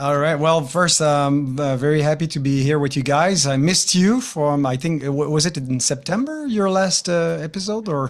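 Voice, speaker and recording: A man's fairly high-pitched voice with a strong Quebec accent, ordinary pitch variation, very even loudness and hardly any pauses. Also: moderate pace. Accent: strong Quebecois French. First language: French. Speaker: pastor. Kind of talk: interview. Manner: halting, many hesitations.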